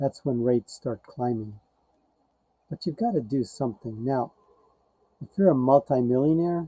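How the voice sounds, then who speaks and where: A man speaks at a medium pitch with ordinary pitch variation and a dark, mellow tone, recorded with a dry, close sound and no echo. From India, moved to the US as a child. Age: 60s. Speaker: financial and tax consultant. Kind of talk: informal talk to camera.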